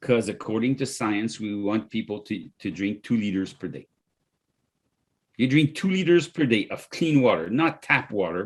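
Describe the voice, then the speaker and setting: A man talks in a French accent. His pace is moderate. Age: 60s. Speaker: company founder and CEO. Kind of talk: podcast interview, product pitch. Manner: animated.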